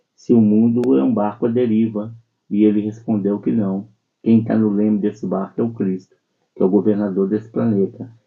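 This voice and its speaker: An unremarkable speaking voice from a man, fairly low in pitch, at a moderate pace with fairly even intonation. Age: 60s. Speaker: spiritist speaker. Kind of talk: religious radio talk.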